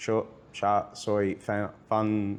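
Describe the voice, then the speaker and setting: Fairly low-pitched male speech over a quiet background. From United States (New York), Italian parents. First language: English (speaking Spanish). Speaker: marketing director at a games company. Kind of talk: interview.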